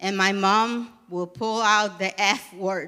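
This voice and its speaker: A woman speaks in a Panamanian accent with a bright, sharp tone. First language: Spanish. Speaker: program coordinator. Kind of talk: live storytelling performance. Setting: theatre stage.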